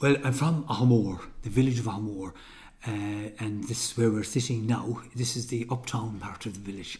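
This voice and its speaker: This man has a west of Ireland accent and a somewhat breathy voice at a medium pitch. He talks at a fairly quick pace with fairly even intonation. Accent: west of Ireland Irish. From Ireland, County Mayo. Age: 60s. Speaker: folk musician. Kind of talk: interview. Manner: halting.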